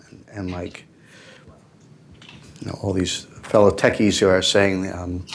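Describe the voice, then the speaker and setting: A man with an American accent speaks at a fairly slow pace in a very deep, low pitch, with monotone, flat intonation. His loudness swings widely, and he takes long, frequent pauses. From New York City, Manhattan. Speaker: tech entrepreneur panelist. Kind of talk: panel discussion.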